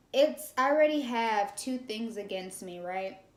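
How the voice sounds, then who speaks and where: A woman speaks at a fairly slow pace and a fairly high pitch, her intonation lively. Audible room echo surrounds her voice. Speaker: video podcast co-host, daughter. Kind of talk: casual chat. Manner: laid back.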